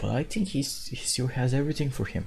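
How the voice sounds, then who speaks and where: In a very clean recording with a silent background, a man speaks with lively intonation in a dark, mellow, somewhat breathy tone. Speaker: gaming video creator. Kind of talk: casual talk about a video game.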